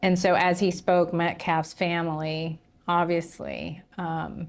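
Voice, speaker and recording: The intonation is monotone and flat. The speaker has a Southern US accent. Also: woman. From Tennessee. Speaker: livestream host covering a trial. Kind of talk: casual commentary on news. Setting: livestream.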